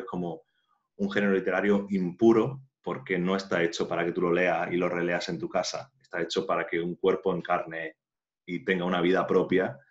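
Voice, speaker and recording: A man with a very deep, low pitch at a moderate pace, over a quiet background. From Andalusia, Spain (Jaén). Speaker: playwright and actor. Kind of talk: casual interview. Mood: thoughtful, relaxed. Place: home room. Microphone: video call.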